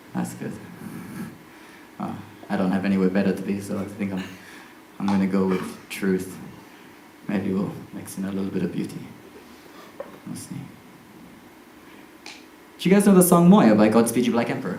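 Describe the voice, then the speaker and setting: Amid noticeable background noise, a man with a fairly low pitch speaks at a moderate pace, with big swings in loudness and long, frequent pauses. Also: ordinary pitch variation. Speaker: circus acrobat and performer. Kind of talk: live one-man stage show, talking to audience. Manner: casual, hesitant, comic.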